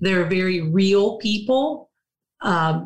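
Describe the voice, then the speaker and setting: A woman speaks with an American accent at a fairly slow pace. Her voice is somewhat breathy. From Alabama, US South. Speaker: pastor's wife. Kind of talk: casual interview.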